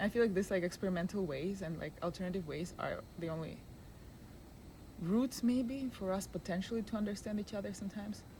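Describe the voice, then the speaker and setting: Speaking very fast, a woman has a medium pitch with ordinary variation. She talks in a non-native accent. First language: not English. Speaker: filmmaker and video creator. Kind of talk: casual interview. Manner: halting.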